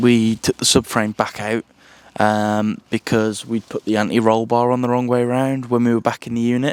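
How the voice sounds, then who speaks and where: Over noticeable background noise, a man with a British accent speaks at a medium pitch and moderate pace, the sound dry and close with no echo. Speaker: car hobbyist YouTuber. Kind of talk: casual vlog update. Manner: hesitant, many fillers.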